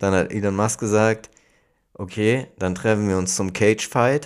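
Fairly low-pitched male voice at a moderate pace, in a very clean recording with a silent background. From Hamburg. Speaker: podcast co-host. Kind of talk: casual chat.

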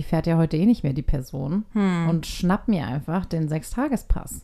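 At a moderate pace, a woman with a fairly low pitch speaks in an animated tone with ordinary pitch variation. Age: 30s. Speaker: podcast co-host. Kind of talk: casual chat.

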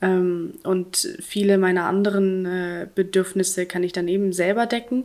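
A woman in a normal speaking voice, medium-pitched, at a fairly slow pace with fairly even intonation. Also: hardly any pauses. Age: 20s. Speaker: interview guest sharing personal story. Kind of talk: casual interview.

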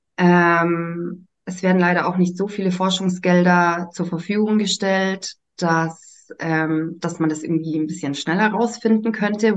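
Hardly any pauses interrupt a woman speaking at a fairly slow pace, medium pitch, and fairly even intonation. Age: 30s. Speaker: nursery teacher and human design coach trainee. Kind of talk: casual chat. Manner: hesitant, many fillers.

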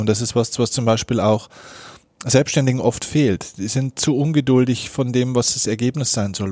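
A man's dark, mellow voice at medium pitch, fairly quick in pace and fairly even in intonation, in a very clean recording with a silent background. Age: 30s. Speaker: mental coach and keynote speaker. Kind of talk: interview. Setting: in-person meeting after a workshop.

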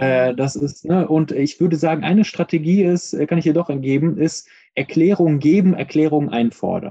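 A dark, mellow tone with ordinary pitch variation. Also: man, moderate pace. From Iran, raised in Germany. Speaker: professor, racism researcher. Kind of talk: interview. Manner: hesitant with frequent fillers.

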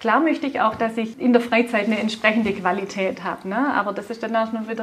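With a Swabian accent, a woman speaks at a very fast pace with a fairly high pitch and fairly even intonation over noticeable background noise. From Swabia, Germany. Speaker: car dealership group executive. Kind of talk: interview. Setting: in person at a car dealership.

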